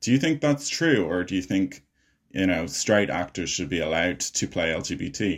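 With an Irish accent, a man talks at a moderate pace in a very deep, low voice with lively intonation. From Ireland. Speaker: podcast host, filmmaker and actor. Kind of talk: casual interview chat. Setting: video call.

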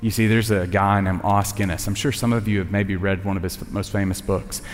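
A man with a Southern US accent speaks very fast at a fairly low pitch, with noticeable background noise and audible room echo. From Tennessee. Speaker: communications director and chapel speaker. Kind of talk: sermon. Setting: college chapel with audience.

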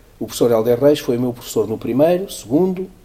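Talking at a very fast pace, a man has medium pitch and lively intonation. His tone is dark and mellow, and somewhat breathy. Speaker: economics professor and CFO. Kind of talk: interview.

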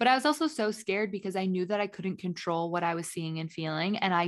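A woman talks in an ordinary speaking voice at medium pitch and a fairly quick pace, with ordinary pitch variation and a quiet background. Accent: American. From US Midwest, Indiana. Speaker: podcast co-host. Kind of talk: casual chat.

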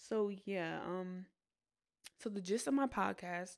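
At a fairly slow pace and with ordinary pitch variation, a woman speaks on a very clean recording with a silent background. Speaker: student podcast host. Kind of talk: casual monologue. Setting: on a college campus. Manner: hesitant, many fillers.

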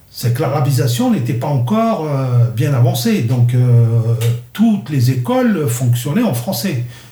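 A man with a medium pitch and a dark, mellow tone speaks at a fairly slow pace, somewhat breathy, with ordinary pitch variation. Room echo is audible. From Algeria, Kabylie. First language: Kabyle (speaking French). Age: 60s. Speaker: interviewee recounting his childhood. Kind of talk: personal life story interview. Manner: halting, many hesitations.

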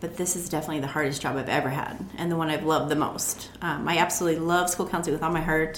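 Speaking very fast with hardly any pauses, a woman with an American accent uses a very deep, low pitch and a monotone, flat delivery, with audible room echo and noticeable background noise. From Montana, US. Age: 40s. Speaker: juice business owner, former school counselor. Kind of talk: interview.

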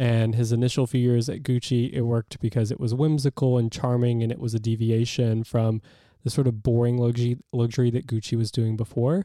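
Recorded dry and close with no echo and a silent background, a man at medium pitch speaks at a moderate pace in a dark, mellow tone. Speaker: podcast co-host. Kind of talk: casual chat. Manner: joking, bantering.

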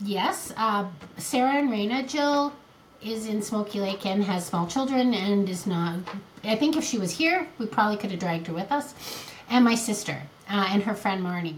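A woman of medium pitch speaks at a moderate pace with lively intonation. Noticeable background noise and audible room echo surround her. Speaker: podcast co-host. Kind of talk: casual chat.

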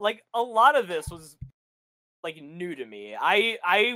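A man talks in a raised, projected voice with a bright, sharp tone and a dry, close sound with no echo. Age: 20s. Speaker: podcast co-host. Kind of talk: casual chat.

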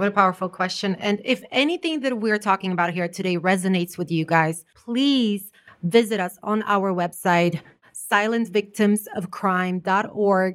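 This woman has a plain, everyday voice at medium pitch. She talks at a moderate pace with ordinary pitch variation. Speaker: life coach and artist. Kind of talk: casual chat. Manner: warm, laughs often.

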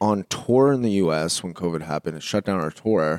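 In a Canadian accent, a man talks at a moderate pace with a fairly low pitch and a plain, everyday voice. The sound is dry and close, with no echo. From Canada. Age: 30s. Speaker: musician. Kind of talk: casual chat.

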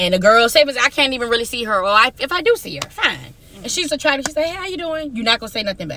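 A woman with a high pitch talks very fast in an animated tone, with very wide pitch swings and hardly any pauses. Her loudness swings widely over noticeable background noise. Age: 30s. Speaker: podcast co-host. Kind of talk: casual chat.

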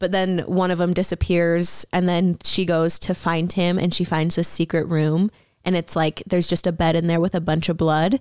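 A woman talks in a fairly low, monotone voice with flat intonation, at a moderate pace with hardly any pauses. Her loudness is very even, and the recording is very clean, dry and close, with a silent background and no echo. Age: 20s. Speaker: childhood friend of the hosts. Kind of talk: casual chat.

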